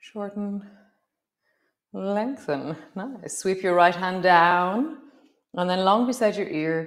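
Over a quiet background, a woman speaks very slowly in a calm, soothing tone with long, frequent pauses. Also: ordinary pitch variation. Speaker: yoga teacher. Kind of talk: guided yoga class, live-stream, calm cueing of poses and breath. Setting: live-stream video. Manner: calm, soothing, unhurried, warm, instructive; chatty, with light laughs and reflective asides. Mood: calm, warm, encouraging. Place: home room.

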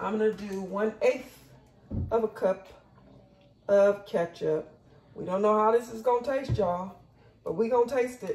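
Audible room echo surrounds a woman's voice. She speaks at a moderate pace. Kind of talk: casual cooking tutorial. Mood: relaxed, upbeat. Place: kitchen. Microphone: camera far.

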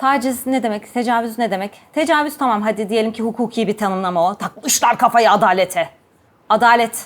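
A woman with a fairly high pitch and animated tone speaks at a moderate pace with ordinary pitch variation, recorded very cleanly over a silent background. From Ankara, Turkey. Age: 40s. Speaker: gynecologist and sexologist. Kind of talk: personal testimony and talk to camera.

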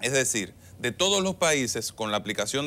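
Speaking at a moderate pace, a man has a bright, sharp tone. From Dominican Republic, Monte Plata; Dominican Republic. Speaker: government official and political candidate; candidate. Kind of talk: TV interview. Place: studio. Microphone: lapel.

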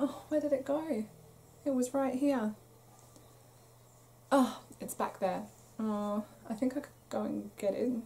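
With a British accent, a woman speaks at a fairly slow pace and a high pitch, with ordinary pitch variation and long, frequent pauses. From UK. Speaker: crochet podcaster. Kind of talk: casual chat. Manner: chatty, with fillers.

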